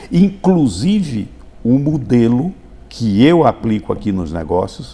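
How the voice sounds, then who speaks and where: Here a man talks at a very slow pace. His medium-pitched voice moves in very wide pitch swings. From Brazil, Paraíba backlands (Sousa). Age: 70s. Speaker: doctor and businessman. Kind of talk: interview. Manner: halting with repetitions.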